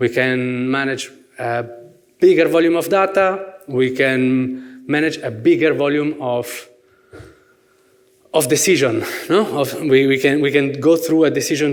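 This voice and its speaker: A man with an Italian accent speaks at a fairly slow pace and fairly high pitch, with ordinary pitch variation. Audible room echo and noticeable background noise come through. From Italy. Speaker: merchandise planning manager, workshop speaker. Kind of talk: conference presentation. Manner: hesitant, many fillers and repetitions; gestures with hands, lively.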